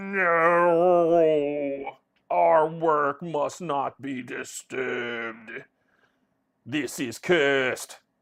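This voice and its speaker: In a put-on character voice, someone speaks gravelly at a middle pitch and a very slow pace against a quiet background. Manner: shouting, angry, commanding.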